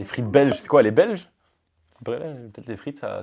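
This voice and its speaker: A man's dark, mellow voice at a very fast pace. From Marseille, southern France. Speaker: reality TV participant, firefighter and model. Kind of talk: casual chat.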